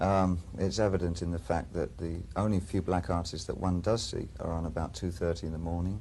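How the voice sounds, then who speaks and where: This man has an English accent and a very deep, low pitch. He speaks at a moderate pace. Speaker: musician. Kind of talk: interview question. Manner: calm.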